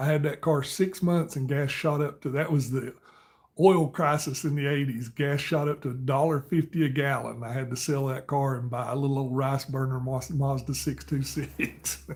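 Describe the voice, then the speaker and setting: Somewhat breathy speech with fairly even intonation moves at a moderate pace on a very clean recording with a silent background. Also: man, fairly high pitch for a man. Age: 50s. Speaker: live streamer. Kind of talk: casual chat.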